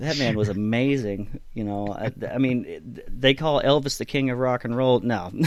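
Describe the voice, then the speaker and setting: This man has an ordinary speaking voice at medium pitch, moving at a moderate pace with hardly any pauses and ordinary pitch variation. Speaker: amateur singer. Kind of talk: casual chat. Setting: Skype call.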